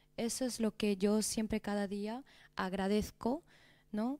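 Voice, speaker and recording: In a Madrid accent, a woman speaks fairly slowly with a fairly high pitch and a dark, mellow tone. Her intonation is fairly even, and the recording is very clean with a silent background. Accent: Madrid Spanish, distinguishes Z. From Spain, Madrid (Peruvian family). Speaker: documentary filmmaker. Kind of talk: interview.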